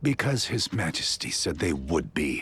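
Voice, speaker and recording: This is a put-on character voice with very wide pitch swings. It moves at a moderate pace. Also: man. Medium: video game. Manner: formal.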